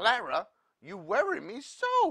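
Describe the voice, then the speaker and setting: A woman's put-on character voice. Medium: read story. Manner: worried, prim.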